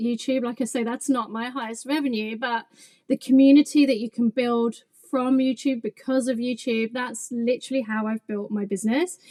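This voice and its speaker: In an English accent, a woman speaks at a moderate pace in a high-pitched voice. Her intonation stays fairly even, and the sound is dry and close with no echo. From England. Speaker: craft business owner and YouTuber. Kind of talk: podcast interview.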